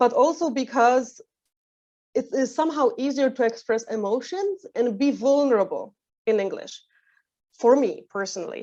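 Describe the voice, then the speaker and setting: In a Polish accent, a woman speaks at a moderate pace and high pitch with a dark, mellow tone. She leaves long, frequent pauses, and the background is quiet. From Poland. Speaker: training manager. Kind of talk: webinar talk. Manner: halting, many fillers.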